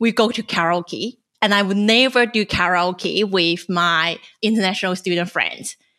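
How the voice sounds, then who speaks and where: A woman's bright, sharp voice with a Chinese accent and ordinary pitch variation, on a very clean recording with a silent background. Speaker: podcast host and journalist. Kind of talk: casual chat.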